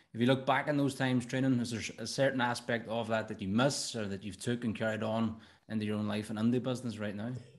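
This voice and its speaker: With an Irish accent, the speaker talks at a very fast pace and fairly even intonation over a quiet background. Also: man. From Ireland. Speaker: podcast host and coach. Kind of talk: casual interview chat. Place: studio. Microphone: studio mic.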